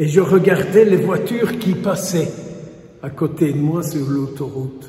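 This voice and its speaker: Speaking very slowly in a Walloon accent, a man with a fairly high pitch and lively intonation is heard amid audible room echo and noticeable background noise. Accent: Belgian French, Walloon. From Wallonia, Belgium. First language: Walloon (speaking French). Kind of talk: sermon.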